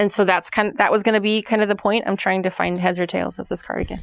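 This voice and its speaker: A woman talks at a fairly quick pace, with vocal fry in her voice. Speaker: knitting and crochet podcaster. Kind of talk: casual chat. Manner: loud.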